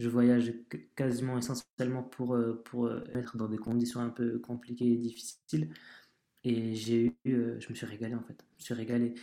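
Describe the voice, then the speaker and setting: A dark, mellow tone colors the voice. The delivery keeps a moderate pace. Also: man. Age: 30s. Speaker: travel cyclist. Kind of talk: casual chat.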